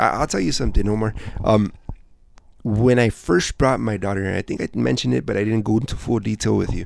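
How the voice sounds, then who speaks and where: Talking at a very fast pace, a man uses lively intonation at a fairly low pitch. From Southgate, Los Angeles area, California. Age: 30s. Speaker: entrepreneur. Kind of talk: casual interview. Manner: repetitive, halting.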